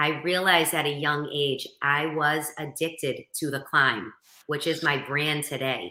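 Speaking in a strong Boston accent, a woman talks at a fairly slow pace with fairly even intonation and a very deep, low pitch. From Boston area, Massachusetts. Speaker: motivational speaker and coach. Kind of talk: interview.

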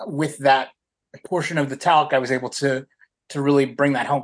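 A man with an American accent talks at a very fast pace in a fairly high pitch. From US South. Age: 30s. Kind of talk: interview.

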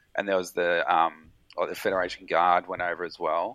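In an Australian accent, a man with a very deep, low pitch speaks at a moderate pace in a bright, sharp tone. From Victoria, Australia (South Gippsland, rural). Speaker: emergency doctor and military veteran. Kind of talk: casual chat.

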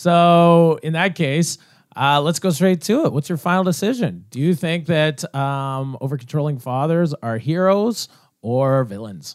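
A man's fairly high-pitched voice, a normal speaking voice, with lively intonation, a fairly slow pace and a Canadian accent. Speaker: debate show moderator. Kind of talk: comedic improv debate.

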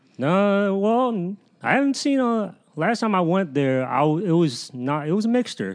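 With an American accent, a man speaks at a high pitch and a moderate pace, his pitch swinging very widely while his loudness stays very even. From Northern Virginia, US. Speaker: comedian. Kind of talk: casual chat.

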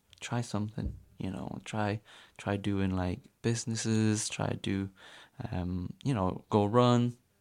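A man speaks in a normal speaking voice, fairly low in pitch, with fairly even intonation. The recording is very clean with a silent background. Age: 20s. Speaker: amateur runner. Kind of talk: casual chat.

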